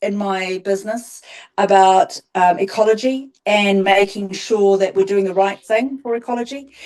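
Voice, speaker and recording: At a moderate pace, a woman speaks in a New Zealand accent. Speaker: garden designer. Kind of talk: interview. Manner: hesitant, many ums.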